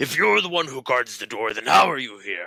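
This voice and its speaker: Putting on a character voice, a man of medium pitch speaks at a fairly quick pace. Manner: put-on character voice.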